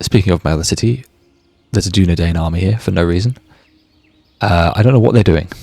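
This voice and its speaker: Over music in the background, a man with a British accent and a very deep, low pitch talks at a very fast pace with ordinary pitch variation and long, frequent pauses. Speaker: gaming YouTuber. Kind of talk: let's play commentary. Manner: casual, chatty.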